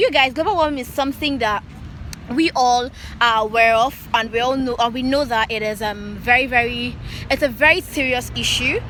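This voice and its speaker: Noticeable noise sits behind a woman with a Nigerian accent. She talks fairly quickly at a fairly high pitch, with ordinary pitch variation. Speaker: YouTuber. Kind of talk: vlog outro to camera.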